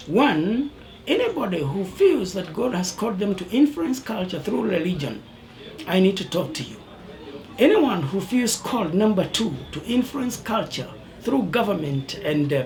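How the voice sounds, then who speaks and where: There's noticeable background noise and audible room echo as a man speaks at a moderate pace in a high pitch with very wide pitch swings. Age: 60s. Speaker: bishop. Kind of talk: birthday address.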